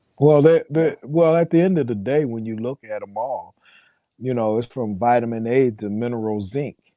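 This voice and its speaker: At medium pitch and a moderate pace, a man talks in an unremarkable speaking voice with ordinary pitch variation. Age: 50s. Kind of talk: casual chat.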